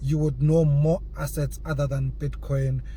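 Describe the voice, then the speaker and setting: A man speaks, and audible room echo follows his words. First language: not English. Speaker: crypto YouTuber. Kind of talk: casual vlog monologue. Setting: in a car. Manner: halting, repeats words.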